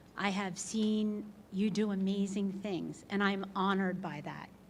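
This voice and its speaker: Audible room echo surrounds a woman whose voice sits at a medium pitch. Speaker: hall of fame inductee. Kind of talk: acceptance speech. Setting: stage with audience. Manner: loud.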